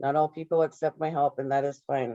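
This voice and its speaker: The tone is dark and mellow, the intonation monotone and flat. Delivery is fairly quick, with a dry, close sound and no echo. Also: woman. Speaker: employment program coordinator. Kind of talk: webinar presentation. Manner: fast.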